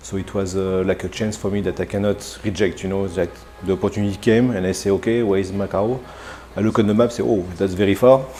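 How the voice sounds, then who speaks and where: A man talks at a very fast pace in a fairly low voice with a French accent, his intonation fairly even, while music plays in the background. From France, Burgundy. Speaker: executive chef. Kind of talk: interview. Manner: halting, many fillers.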